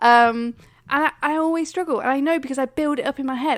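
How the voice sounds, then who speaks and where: A high-pitched woman's voice with an English accent and ordinary pitch variation, dry and close with no echo. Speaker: podcast co-host. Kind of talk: casual chat. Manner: stumbles over words.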